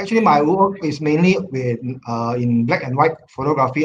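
Light background noise sits under a man's voice. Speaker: guest. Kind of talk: webinar presentation. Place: home room. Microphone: video call.

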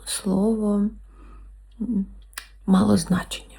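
A woman's voice over noticeable background noise. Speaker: ASMR creator. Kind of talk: casual talk to camera, answering viewer questions. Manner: whispered, soft-spoken.

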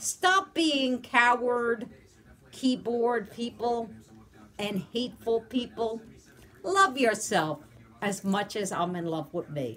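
Her pitch swings very widely as a woman talks at a very slow pace, leaving long, frequent pauses. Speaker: vlogger. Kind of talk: casual vlog chat. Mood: defiant, animated. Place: home room. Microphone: phone near.

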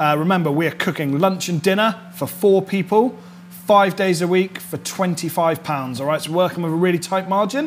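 A man speaks at a moderate pace in a high pitch with ordinary pitch variation. Faint music plays in the background. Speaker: chef host. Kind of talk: cooking tutorial. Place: kitchen.

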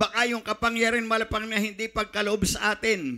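A man shouts in a raised, projected voice with a bright, sharp tone at a moderate pace over a quiet background. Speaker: preacher. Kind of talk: sermon. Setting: church. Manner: fervent, pulpit-style delivery with repeated 'minamahal' and shouted praises. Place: church. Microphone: handheld.

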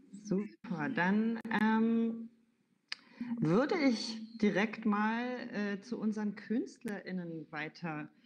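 Over light background noise, a woman speaks very slowly at a fairly high pitch, somewhat breathy, with ordinary pitch variation. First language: German. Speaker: event moderator. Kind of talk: event moderation. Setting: livestreamed event in a venue. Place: home room. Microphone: video call.

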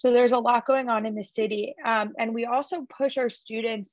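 An ordinary speaking voice, a woman's, fairly high in pitch with fairly even intonation, moves at a moderate pace in a dry sound with no echo and a quiet background. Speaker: college admissions representative. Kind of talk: presentation at a virtual college fair. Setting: video call. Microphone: webcam.

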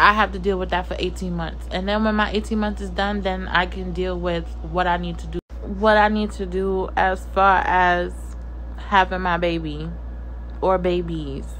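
Some light noise sits in the background. The speech moves at a moderate pace. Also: woman. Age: 30s. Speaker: lifestyle vlogger. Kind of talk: personal vlog rant. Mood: earnest personal rant. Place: home room. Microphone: phone near.

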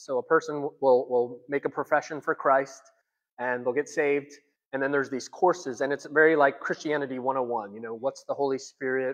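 The man speaks at a moderate pace. His intonation is fairly even. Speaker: pastor. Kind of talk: church announcements, sermon style. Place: hall. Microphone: lapel.

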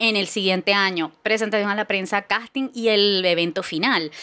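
A woman talks at a medium pitch. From Venezuela, Barquisimeto. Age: 40s. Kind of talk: casual chat.

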